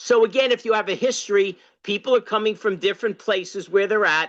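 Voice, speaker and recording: Using a raised, projected voice, a man speaks in a bright, sharp tone with fairly even intonation. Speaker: party activist, former candidate and state chair. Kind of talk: workshop discussion comment. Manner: loud; halting, many fillers.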